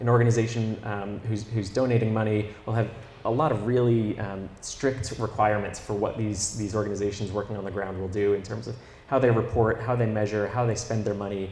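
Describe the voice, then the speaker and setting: A man with a fairly low, somewhat breathy voice speaks at a fairly quick pace in a monotone, flat intonation, with audible room echo. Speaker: company co-founder. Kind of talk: interview. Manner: hesitant with many fillers.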